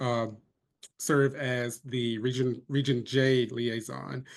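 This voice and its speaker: A man with a North Carolina accent speaks at a medium pitch. His intonation is monotone and flat. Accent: North Carolina Southern. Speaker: pharmacy student, board candidate. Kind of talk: candidate introduction.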